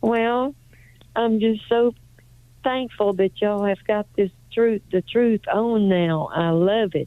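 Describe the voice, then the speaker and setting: Speaking very slowly with long, frequent pauses, a woman with a Southern US accent keeps a fairly high pitch, ordinary pitch variation and very even loudness. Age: 80s+. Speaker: caller, retired caregiver. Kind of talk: phone call. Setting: phone call.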